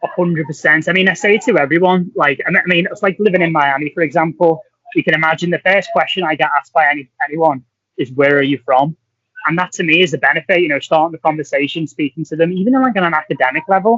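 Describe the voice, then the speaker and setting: Talking at a very fast pace, a man speaks with a high pitch. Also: ordinary pitch variation. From Merseyside, England (Wirral, near Liverpool). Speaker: scientist, postdoctoral researcher. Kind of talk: podcast interview. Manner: animated.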